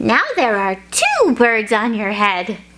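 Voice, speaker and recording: A put-on character voice, female-sounding, with a fairly high pitch and a fairly slow pace. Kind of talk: children's read-aloud. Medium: read story. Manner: calm, matter-of-fact.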